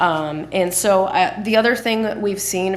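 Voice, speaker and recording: A woman is speaking with audible room echo. Noticeable background noise is present too. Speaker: economic development presenter. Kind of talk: public meeting presentation. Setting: city council meeting.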